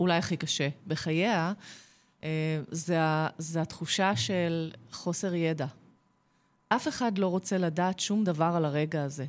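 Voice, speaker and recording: In a very clean recording with a silent background, a woman with a fairly low voice speaks very slowly, with long, frequent pauses. Her loudness stays very even, and her pitch varies in an ordinary way. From Israel, Kfar Saba. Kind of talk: radio interview.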